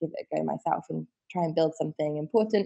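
The speaker talks at a very fast pace with a southern English accent. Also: woman. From West Country, England (Wiltshire). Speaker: fashion rental company co-founder. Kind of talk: interview.

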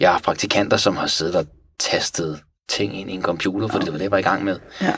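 Over a very clean recording with a silent background, a man speaks with a plain, everyday voice. His pitch is fairly low and his pace moderate. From Iran (Tehran). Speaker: natural history taxidermist. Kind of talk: casual interview.

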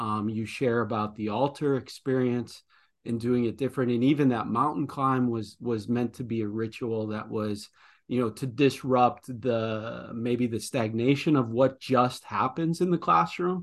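A man at medium pitch with a Midwestern American accent, ordinary pitch variation, a fairly slow pace, and a quiet background. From US Midwest. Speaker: podcast host, former principal. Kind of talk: interview. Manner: halting, with many repetitions.

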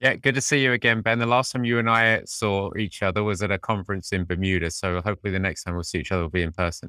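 A very fast man's voice, fairly low in pitch and bright and sharp in tone, on a very clean recording with a silent background. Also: ordinary pitch variation. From Britain. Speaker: HR executive. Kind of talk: casual interview conversation.

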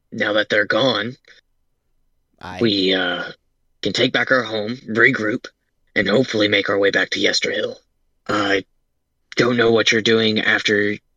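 Putting on a raspy character voice, a man speaks at a moderate pace and medium pitch in a monotone, flat intonation, with a dry, close sound and no echo. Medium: actual play. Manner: warm, eager to please.

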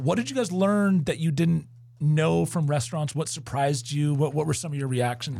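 A man's somewhat breathy voice at a fairly high pitch, moving at a fairly quick pace. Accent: American. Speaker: podcast co-host. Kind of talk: casual chat. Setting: studio.

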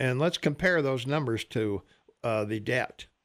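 With an American accent, a man talks at a medium pitch and a fairly slow pace. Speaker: radio host. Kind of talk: casual talk radio. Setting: studio.

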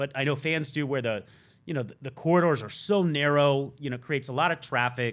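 A man with an American accent has a normal speaking voice, fairly high in pitch with ordinary variation. He goes at a fairly quick pace on a very clean recording with a silent background. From US South. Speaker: NFL beat reporter. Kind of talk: casual chat. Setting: studio.

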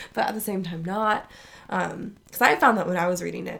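A woman with an unremarkable speaking voice, fairly low in pitch, at a moderate pace with fairly even intonation. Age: 20s. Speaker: book club podcast co-host. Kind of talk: casual chat. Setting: recording together in the same room.

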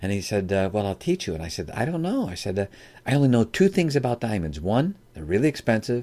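In a very clean recording with a silent background, a man with an American accent talks at a very fast pace in a dark, mellow tone at medium pitch, with very wide pitch swings. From US Midwest, Chicago area. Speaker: entrepreneur and author. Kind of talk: interview.

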